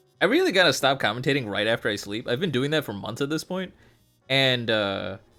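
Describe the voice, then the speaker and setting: Someone talks fairly quickly, with lively intonation. Background music plays throughout. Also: man, medium pitch for a man. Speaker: fighting game stream commentator. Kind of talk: casual stream chat. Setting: live stream from home. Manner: stumbles over words, stuttering. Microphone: new HyperX Quadcast mic, very clear.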